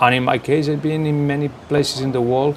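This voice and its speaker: A man speaks over noticeable background noise. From Barcelona, Spain. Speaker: football coach. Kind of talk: interview.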